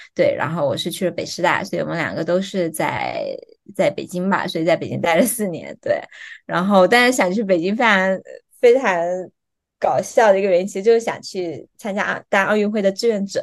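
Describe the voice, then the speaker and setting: A woman talks with a southern Chinese accent at a fairly quick pace. Her pitch is medium, with ordinary pitch variation. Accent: southern Chinese Mandarin. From Fuzhou, Fujian, China. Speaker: PhD student, former international organization worker. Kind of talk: casual interview.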